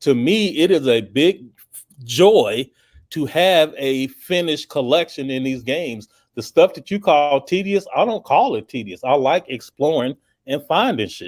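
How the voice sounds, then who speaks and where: Speaking at a fairly slow pace, a man with an ordinary speaking voice and a fairly high pitch uses lively intonation and big swings in loudness, recorded dry and close with no echo on a very clean track with a silent background. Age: 50s. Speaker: gaming podcast co-host. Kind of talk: casual chat.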